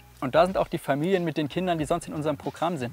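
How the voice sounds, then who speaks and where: Fairly high-pitched male voice with ordinary pitch variation, dry with no echo, faint music in the background. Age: 20s. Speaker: youth and family social worker. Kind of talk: video interview testimony. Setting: filmed on location. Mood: earnest, engaged. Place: street. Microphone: lapel.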